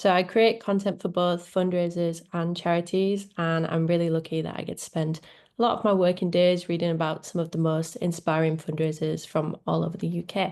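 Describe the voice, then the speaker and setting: A woman with a Leeds accent speaks in a fairly low, flat monotone at a fairly quick pace with hardly any pauses, against a quiet background. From northern England, Leeds. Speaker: social media manager. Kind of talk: webinar presentation.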